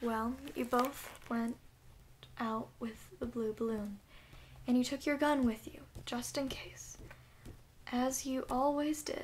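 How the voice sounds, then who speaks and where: A soft-spoken woman talks at a high pitch and a very slow pace, with fairly even intonation. She takes long, frequent pauses. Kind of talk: sleep story; read-aloud storybook.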